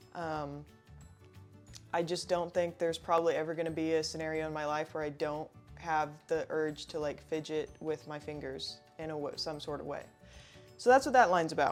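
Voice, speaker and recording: A woman's very deep, low pitch with fairly even intonation, big swings in loudness, and a moderate pace, over music in the background. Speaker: amateur poet. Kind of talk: casual talk to camera. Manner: monotone.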